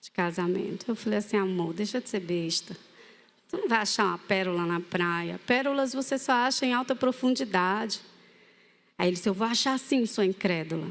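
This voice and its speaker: This woman has a Cearense accent and a medium pitch. Her tone is animated, her intonation lively. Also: moderate pace. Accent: Cearense (northeastern Brazilian). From Fortaleza, Ceará, northeastern Brazil. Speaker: ministry leader sharing testimony. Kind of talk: testimony. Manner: animated storytelling.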